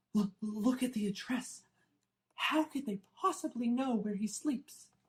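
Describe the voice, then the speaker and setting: A shaky put-on character voice, fairly high in pitch, at a fairly slow pace. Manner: quivering, frightened.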